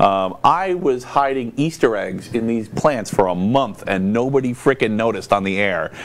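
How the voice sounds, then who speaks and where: A man at a medium pitch with lively intonation, a moderate pace and hardly any pauses, over noticeable background noise. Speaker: talk show host. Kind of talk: casual chat. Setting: studio. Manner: loud and forceful.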